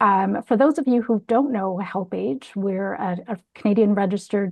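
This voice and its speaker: A woman speaks at a medium pitch and a moderate pace, in a plain, everyday voice. Her pitch varies in an ordinary way, and the sound is dry and close with no echo. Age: 50s. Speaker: charity executive. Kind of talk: panel discussion.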